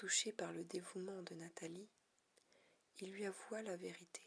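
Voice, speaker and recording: The speaker whispers, soft-spoken throughout. The pace is very slow. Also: woman. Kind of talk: ASMR reading of a short story to relax and sleep. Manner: whispered, soft-spoken.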